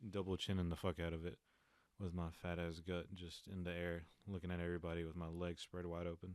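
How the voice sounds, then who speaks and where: A man's very deep, low voice in a Southern US accent, very fast and flat in monotone intonation. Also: very clean recording, silent background. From eastern North Carolina. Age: 20s. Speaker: podcast host. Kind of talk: casual solo podcast monologue. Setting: home recording alone. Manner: halting, stumbling over words.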